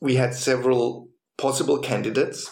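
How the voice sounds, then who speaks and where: Amid audible room echo, a man speaks at a medium pitch and a fairly slow pace. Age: 50s. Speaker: pastor. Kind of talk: interview storytelling.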